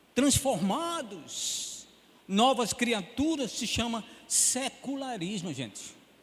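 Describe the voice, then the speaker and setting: An extremely high man's voice at a very slow pace, lively in intonation, over noticeable background noise. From Pernambuco, northeast Brazil. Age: 70s. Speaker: pastor. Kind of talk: sermon.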